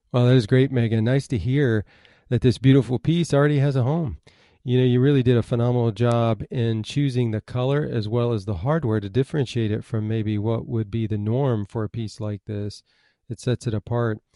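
With an ordinary speaking voice, this man keeps a medium pitch, ordinary pitch variation and a fairly quick pace. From Michigan. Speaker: podcast host. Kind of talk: interview.

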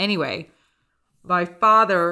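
A woman's animated, bright, sharp voice in an American accent, on a very clean recording with a silent background. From Houston, Texas. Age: 40s. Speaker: podcast host. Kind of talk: casual interview chat with ad read. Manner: animated, talkative, laughs often.

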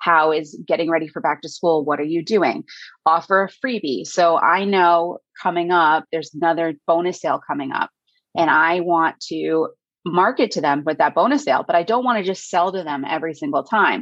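Moving at a moderate speed in an American accent, a plain, everyday voice shows normal rises and falls in pitch. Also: woman, fairly low pitch for a woman. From Hudson Valley, New York. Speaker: high school teacher and email marketer. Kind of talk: casual interview. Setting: indoors on a rainy day.

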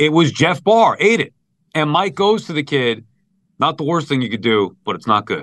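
A man's fairly high voice with vocal fry, at a moderate pace, with very wide pitch swings. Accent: Long Island. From Long Island, New York. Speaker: sports radio host. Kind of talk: casual chat.

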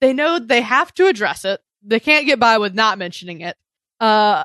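A woman speaks at a fairly quick pace in a normal speaking voice, her pitch fairly high. The background is quiet, and the sound is dry and close with no echo. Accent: American. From US South. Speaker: podcast host. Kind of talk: casual chat. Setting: video call.

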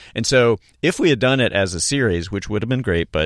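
Vocal fry runs through this American accent, with very wide pitch swings at a moderate pace. The recording is very clean, with a silent background. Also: man. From US South, Charlotte, North Carolina. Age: 40s. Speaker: comedic actor. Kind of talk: casual interview. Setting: studio. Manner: halting, many restarts.

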